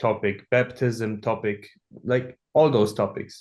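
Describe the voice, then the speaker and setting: A man speaks at a moderate pace with a German accent, his pitch fairly low and his intonation fairly even. The background is quiet. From Germany, Hamburg. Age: 20s. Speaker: app developer. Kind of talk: podcast interview. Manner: halting, many fillers.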